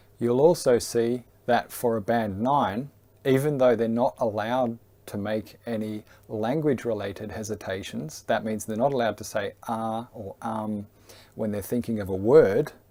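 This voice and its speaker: Recorded very cleanly against a silent background, a man speaks at a medium pitch in a dark, mellow tone with ordinary pitch variation. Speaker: English exam teacher. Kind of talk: tutorial. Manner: deliberate pauses between chunks.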